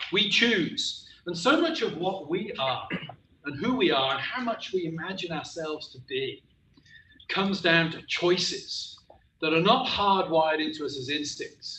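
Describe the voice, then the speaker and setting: A man speaks fairly slowly in a raised, projected voice, pitched high, with a West Country accent, audible room echo and noticeable background noise. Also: lively intonation. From West Country, England. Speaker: professor. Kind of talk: lecture.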